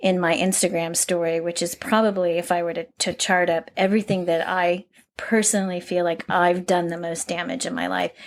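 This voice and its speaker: A woman with an ordinary speaking voice. She talks at a fairly quick pace with fairly even intonation. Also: fairly low pitch for a woman, hardly any pauses. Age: 60s. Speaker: podcast host. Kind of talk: casual chat. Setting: at home.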